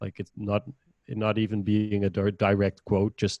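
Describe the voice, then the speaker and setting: A man's fairly low pitch in a Dutch accent, fairly slow and fairly even in intonation, dry and close with no echo, against a quiet background. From Netherlands. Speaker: podcaster and innovation manager. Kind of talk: casual chat.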